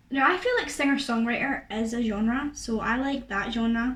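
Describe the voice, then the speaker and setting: Noticeable background noise accompanies a woman speaking at a fairly high pitch with ordinary pitch variation. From Scotland. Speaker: YouTuber and singer. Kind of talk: casual Q&A to camera. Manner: chatty, many fillers.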